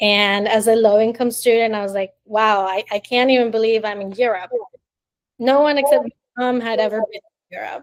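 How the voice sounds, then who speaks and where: In a dry, close sound with no echo, a woman with a plain, everyday voice speaks at a moderate pace and fairly high pitch, her intonation fairly even but her loudness swinging widely. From Miami, Florida (born in Colombia). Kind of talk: interview answer.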